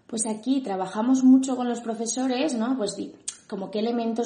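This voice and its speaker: At a moderate pace and with ordinary pitch variation, a woman talks over noticeable background noise and audible room echo. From Madrid, Spain. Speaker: educational psychologist. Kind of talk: interview.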